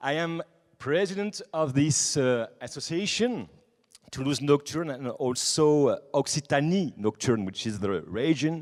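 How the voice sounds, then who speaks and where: In a French accent, a man with fairly high pitch speaks at a fairly slow pace with lively intonation. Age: 20s. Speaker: nightlife association president. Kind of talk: conference talk. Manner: halting; animated.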